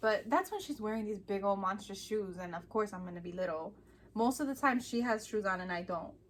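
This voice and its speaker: A woman talks at a fairly quick clip, her pitch sitting in the medium range with ordinary variation. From Chicago, US Midwest. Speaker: vlogger. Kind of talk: casual chat.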